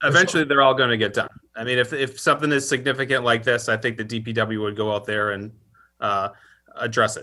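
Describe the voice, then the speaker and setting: A very fast pace and a bright, sharp tone in a very clean recording with a silent background. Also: man, medium pitch for a man, ordinary pitch variation. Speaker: town administrator. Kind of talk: public meeting discussion. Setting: virtual meeting.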